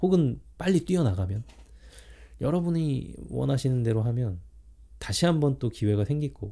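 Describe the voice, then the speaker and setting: At a moderate pace broken by long, frequent pauses, a man with a dark, mellow, somewhat breathy tone speaks with very wide pitch swings. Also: medium pitch for a man. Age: 40s. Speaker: vlogger. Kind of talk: self-interview monologue. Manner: halting, with many fillers.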